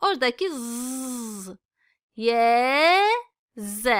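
A high-pitched woman's voice with lively intonation, on a very clean recording with a silent background. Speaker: Quran reading teacher. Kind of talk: tutorial. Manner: slow, repeating letter sounds for learners.

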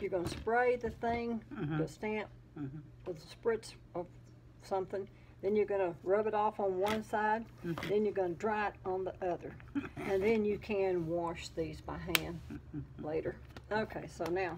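Light background noise behind a woman at a moderate pace. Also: ordinary pitch variation. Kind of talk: casual vlog chat. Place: home room. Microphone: phone near.

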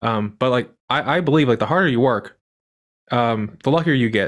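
A man speaks here. The background is quiet. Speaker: podcast host. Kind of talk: casual interview. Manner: halting, many fillers. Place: home room.

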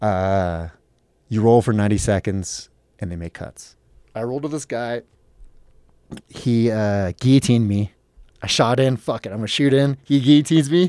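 Speaking at a moderate pace with lively intonation and long, frequent pauses, a man is heard in a dry sound with no echo against a quiet background. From US West Coast (Los Angeles, San Fernando Valley); California. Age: 30s. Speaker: professional MMA fighter; podcast guest. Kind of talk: casual chat. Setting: studio. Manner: animated. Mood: animated, profane storytelling. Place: studio. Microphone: studio mic.

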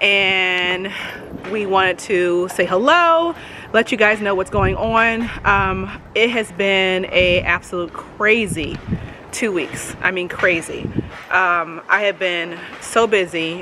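The delivery is very slow with fairly even intonation, over light background noise. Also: woman. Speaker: vlogger. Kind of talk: casual vlog chat. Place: garden. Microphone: phone near.

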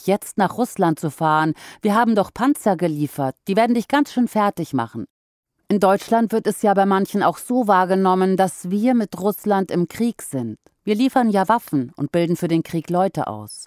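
An unremarkable speaking voice from a woman at medium pitch and moderate pace, dry and close with no echo. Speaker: podcast narrator. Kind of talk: news article read aloud.

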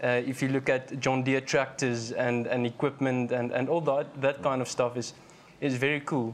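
Over light background noise, a man speaks at a moderate pace in a monotone, flat intonation. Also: very even loudness. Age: 20s. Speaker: financial analyst, chartered accountant; financial analyst. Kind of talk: panel discussion. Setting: live broadcast studio at an agricultural show with student audience. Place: studio. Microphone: lapel.

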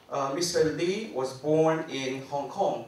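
A man is speaking with audible room echo. Light background noise is present. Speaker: forum organizer and PhD student. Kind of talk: formal introduction. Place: hall. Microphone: handheld.

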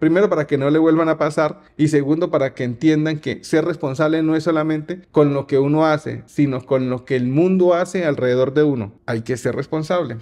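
Over a quiet background, a man speaks fairly quickly with hardly any pauses, in a fairly high, dark and mellow voice with fairly even intonation. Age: 40s. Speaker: youtuber. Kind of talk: casual monologue. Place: home room. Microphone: studio mic.

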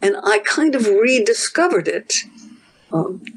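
Pitch swings very widely here. The pace is fairly slow, with light background noise. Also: woman. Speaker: professor. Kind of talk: interview. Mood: thoughtful, warm. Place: home room. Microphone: video call.

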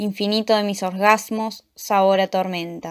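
In a very clean recording with a silent background, a woman speaks at a medium pitch with an intense tone and monotone, flat intonation. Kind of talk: poem performed. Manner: dark, intense, brooding delivery.

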